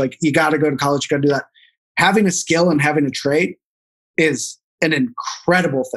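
With an American accent, a man speaks in an ordinary speaking voice at a fairly high pitch. His pace is fairly quick and his intonation fairly even. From US Midwest, St. Louis. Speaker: meat company co-founder and former chef. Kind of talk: interview.

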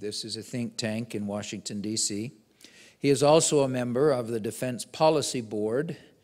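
A man talks at a moderate pace, his pitch varying in an ordinary way, with a quiet background. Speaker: host introducing the speaker. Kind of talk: formal speaker introduction. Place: hall. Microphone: podium.

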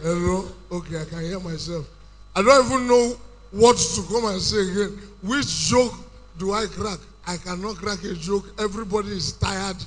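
A high male voice showing ordinary pitch variation. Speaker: stand-up comedian. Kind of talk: stand-up comedy routine. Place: stage. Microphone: handheld.

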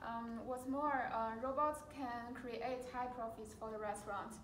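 Audible room echo on a woman's speech, plus light background noise. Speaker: presenter. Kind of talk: class presentation. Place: classroom.

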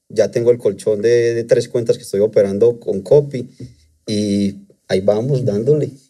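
The tone is dark and mellow, with fairly even intonation. The pace is moderate, and the background is quiet. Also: man. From Colombia, Antioquia. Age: 30s. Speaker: trader; interview guest. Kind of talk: testimony. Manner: hesitant, with fillers. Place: studio. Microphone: studio mic.

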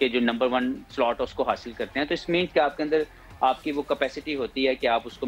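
A man speaks at a moderate pace with fairly even intonation. Light background noise can be heard. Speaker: remote guest. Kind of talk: interview answer. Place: home room. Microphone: video call.

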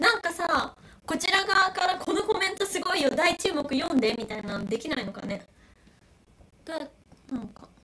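A woman with an extremely high pitch uses a raised, projected voice and an animated tone, her pitch swinging very widely and her loudness in big swings, at a moderate pace with long, frequent pauses. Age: 20s. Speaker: YouTuber doing live stream. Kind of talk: casual live-stream chat reading comments. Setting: live stream. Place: home room. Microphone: crackling audio; phone near.

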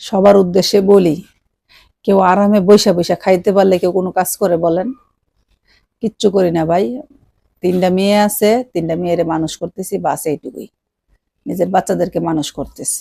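In a dry, close sound with no echo, a woman at medium pitch speaks with fairly even intonation and a dark, mellow tone. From Bangladesh, Brahmanbaria. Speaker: YouTube vlogger. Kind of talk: casual vlog talk to viewers. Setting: at home.

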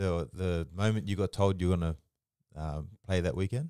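A man talks at a moderate pace with a very deep, low pitch and a dark, mellow tone. The sound is dry with no echo, and the background is quiet. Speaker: podcast host and rugby league player; podcast host. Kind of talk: casual interview. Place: studio. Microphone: studio mic.

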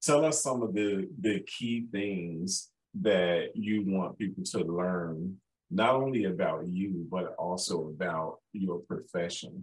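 Over a quiet background, a man speaks with a Southern US accent at a fairly low pitch. His pace is very slow and his pitch variation ordinary. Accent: Southern-tinged, sounds country. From Chicago. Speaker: podcast host. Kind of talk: interview. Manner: animated. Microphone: video call.

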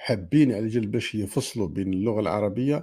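A man's fairly low voice, dark and mellow, with an Algerian accent. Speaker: livestream host. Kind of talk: live stream commentary. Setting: live stream. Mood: argumentative, polemical. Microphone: earbuds.

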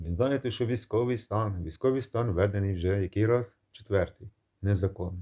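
A man speaks at a moderate pace with a dark, mellow, somewhat breathy tone and a fairly low pitch, over a quiet background. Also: ordinary pitch variation. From Ukraine. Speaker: video blogger. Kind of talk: monologue to camera. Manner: animated.

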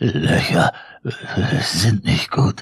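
In a put-on character voice, the speaker whispers in a shaky, raspy way. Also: man. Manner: whispering.

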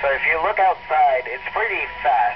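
Noticeable background noise runs through the clip. The speaker is a man. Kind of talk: interview answer. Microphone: two way radio.

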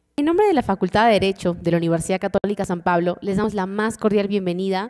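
A woman talks very fast with fairly even intonation against a quiet background. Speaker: event host. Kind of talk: formal announcement. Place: hall. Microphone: podium.

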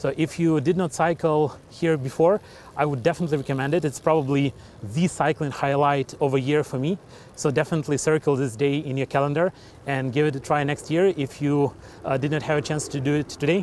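A man talks at a fairly quick pace with fairly even intonation, the sound dry with no echo and light background noise underneath. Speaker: cycling vlogger. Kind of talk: casual vlog chat. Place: bicycle. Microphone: phone near.

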